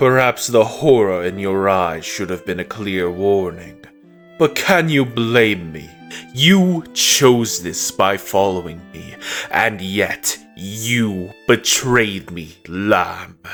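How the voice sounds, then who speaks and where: A man's put-on character voice, fairly low in pitch and very slow, over clear background music. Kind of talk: dramatic monologue narration. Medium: dub.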